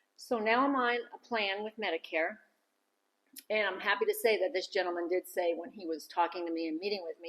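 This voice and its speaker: Lively intonation and a fairly quick pace mark an ordinary speaking voice. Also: woman. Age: 60s. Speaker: vlogger. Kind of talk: casual vlog monologue.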